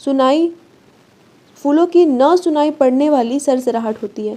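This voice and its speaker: This woman talks very slowly, her intonation fairly even. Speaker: online tutor. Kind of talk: lecture. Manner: conversational, repetitive explaining.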